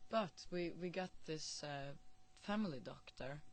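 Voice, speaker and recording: Speaking in a Norwegian accent, a woman has a very deep, low voice with ordinary pitch variation. Audible room echo surrounds her. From northern Norway. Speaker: musician. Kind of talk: interview. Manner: hesitant, many fillers and repetitions.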